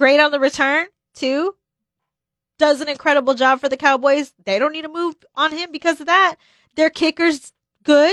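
A woman with an American accent speaks at a moderate pace in a high voice, her intonation fairly even and her pauses long and frequent. The sound is dry and close with no echo, over a quiet background. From Texas. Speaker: sports broadcaster. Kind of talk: sports radio talk show. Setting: radio studio.

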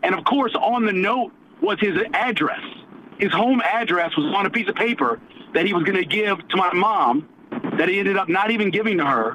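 Speaking fairly quickly in a high voice, a man keeps his loudness very even and his intonation lively, with noticeable background noise behind him. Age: 50s. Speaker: radio show co-host. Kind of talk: storytelling.

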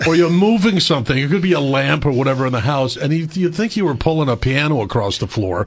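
Over noticeable background noise, a man speaks at a very fast pace with hardly any pauses in a fairly high pitch, his pitch swinging very widely while his loudness stays very even. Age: 60s. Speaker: entertainer. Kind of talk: casual chat. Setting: radio studio.

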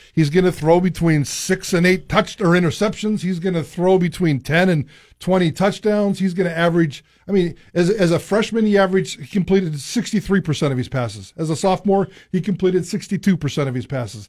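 With a playful, energetic tone, a man talks at a moderate pace in a high pitch with ordinary pitch variation. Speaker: radio co-host. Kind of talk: radio sports talk show banter. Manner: jokey, playful, energetic radio patter.

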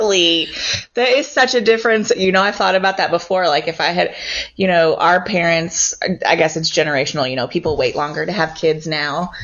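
Over noticeable background noise, a woman talks fairly quickly with a fairly low pitch and lively intonation. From Louisville, Kentucky. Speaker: nonprofit communications director. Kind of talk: casual interview.

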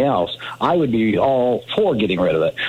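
Very wide pitch swings from a man at medium pitch, over noticeable background noise. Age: 60s. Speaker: caller. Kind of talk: call-in.

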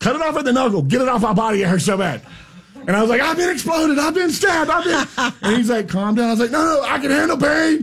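Loud and animated, a man with a Florida accent talks at a very fast pace and an extremely high pitch with lively intonation over noticeable background noise. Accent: US Southern (Florida). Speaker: radio host and farmer. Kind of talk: casual chat. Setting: radio studio.

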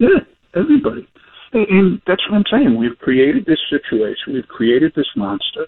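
A man speaks with a high pitch and very wide pitch swings. His pace is moderate. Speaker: former police superintendent. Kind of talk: serious interview commentary.

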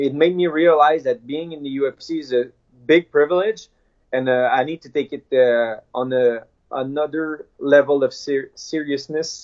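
A man with a French accent, fairly high pitch and fairly even intonation. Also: fairly slow pace. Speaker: MMA fighter. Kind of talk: interview. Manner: halting.

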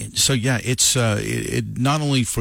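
A man with vocal fry speaks at a moderate pace on a very clean recording with a silent background. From New Mexico. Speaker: country radio morning host. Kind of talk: casual morning radio chat. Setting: radio studio.

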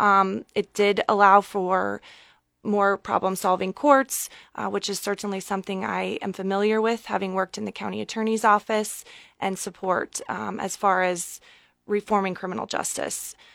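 A woman with a Midwestern American accent speaks at a moderate pace in a flat monotone. The sound is dry and close with no echo, and the recording is very clean with a silent background. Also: medium pitch for a woman. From Nebraska. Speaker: state senator. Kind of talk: radio interview.

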